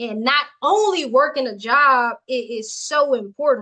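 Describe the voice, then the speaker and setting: With a bright, sharp tone and a raised, projected voice, a woman speaks at a high pitch in an animated way with lively intonation. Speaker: livestream coach. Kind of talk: motivational livestream talk. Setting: live video stream with chat. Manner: loud.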